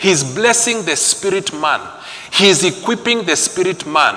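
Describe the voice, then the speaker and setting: The voice is raised and projected, animated, with lively intonation. Noticeable background noise and audible room echo surround it. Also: man. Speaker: preacher. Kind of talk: sermon.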